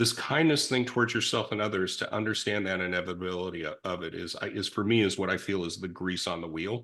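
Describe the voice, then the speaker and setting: With an American accent, a man talks at a very fast pace in a very deep, low pitch. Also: ordinary pitch variation. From California, Silicon Valley. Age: 60s. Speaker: recovering addict sharing life story. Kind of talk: conversational interview. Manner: halting, with frequent restarts.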